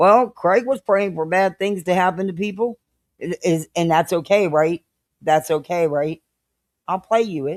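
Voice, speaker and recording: A woman's normal speaking voice at medium pitch, moderate pace and ordinary pitch variation, with a dry, close sound and no echo. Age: 60s. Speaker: live-stream commentary youtuber. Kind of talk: casual live stream chat.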